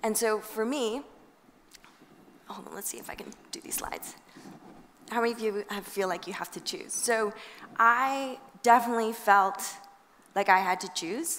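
A woman at a moderate pace, with big swings in loudness, long, frequent pauses, and ordinary pitch variation. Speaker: invited lecturer. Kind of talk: lecture. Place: hall. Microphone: headset.

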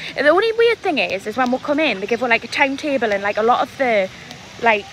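A woman's high voice at a fairly quick pace, dry with no echo, over light background noise. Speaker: vlogger. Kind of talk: casual vlog chat. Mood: excited, upbeat. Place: street. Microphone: phone near.

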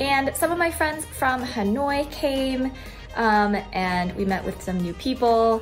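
Over music in the background, a woman speaks at a fairly high pitch and a very slow pace, with lively intonation. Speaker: travel blogger. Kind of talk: casual talk to camera.

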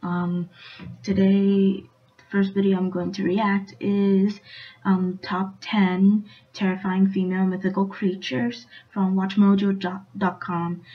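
A woman talks quietly at a medium pitch. Her voice is somewhat breathy, and her pace is fairly slow. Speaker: YouTube reaction vlogger; vlogger. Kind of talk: casual vlog talk; casual vlog chat. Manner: quiet, hushed. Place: home room. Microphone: webcam.

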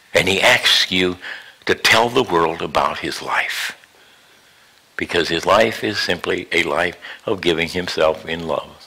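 The pace is fairly slow, broken by long, frequent pauses. Noticeable background noise runs throughout. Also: man. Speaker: pastor. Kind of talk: sermon.

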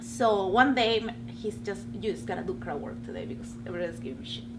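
The speaker has a strong Peruvian accent and a moderate pace. Noticeable background noise can be heard. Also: woman. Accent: heavy Peruvian Spanish accent in English. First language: Spanish. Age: 30s. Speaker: stand-up comedian. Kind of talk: casual interview. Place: studio.

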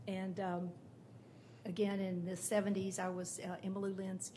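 In a room with audible echo, a woman talks at a medium pitch with monotone, flat intonation. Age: 60s. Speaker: public commenter at city council. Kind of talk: public testimony.

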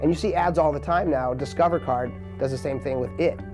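Clear music sounds behind the voice. The speaker is a man. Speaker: interviewee. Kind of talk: interview answer. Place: studio. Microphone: lapel.

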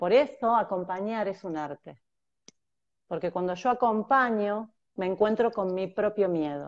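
The speech has ordinary pitch variation over a quiet background. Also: woman, fairly slow pace. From Argentina, Mar del Plata; Argentina. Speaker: transpersonal therapist; guest. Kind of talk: conversational interview, explanatory. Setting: video call on mobile phone. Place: home room. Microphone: earbuds.

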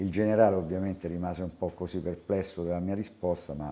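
Speaking fairly quickly in a Roman accent, a man uses a very deep, low pitch and a dark, mellow tone with monotone, flat intonation. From Rome, Italy; Italy. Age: 60s. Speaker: basketball coach. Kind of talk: interview. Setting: on camera. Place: office. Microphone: lapel.

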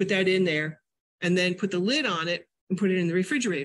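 The voice shows ordinary pitch variation against a quiet background. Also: woman. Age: 60s. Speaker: nutrition educator and teacher; nutrition educator, teacher. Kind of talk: lecture. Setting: library classroom with audience, hybrid via Zoom. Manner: animated. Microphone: video call.

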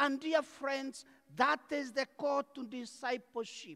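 A man's extremely high-pitched voice at a very slow pace. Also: quiet background. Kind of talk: homily at Mass. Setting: church during Mass. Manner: earnest, direct, addressing the congregation as "dear friends". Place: church. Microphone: lapel.

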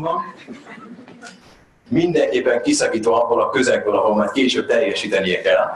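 A man is speaking. Room echo can be heard in the recording.

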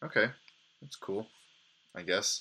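This man's tone is bright and sharp. Vocal fry runs through his voice. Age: 20s. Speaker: gaming video host. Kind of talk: gameplay commentary. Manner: animated. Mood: sarcastic, mildly exasperated. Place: home room.

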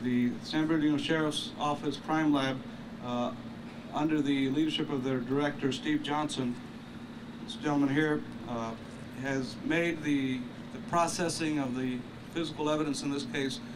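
Speaking at a moderate pace with long, frequent pauses, a man uses ordinary pitch variation against noticeable background noise. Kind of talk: press conference statement. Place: street. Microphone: podium.

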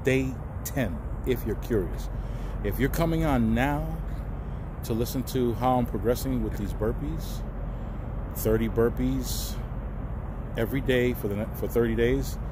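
A man speaks at a fairly slow pace with long, frequent pauses, the sound dry with no echo but with noticeable background noise. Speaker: truck driver vlogger. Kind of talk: casual vlog chat. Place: street. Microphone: phone near.

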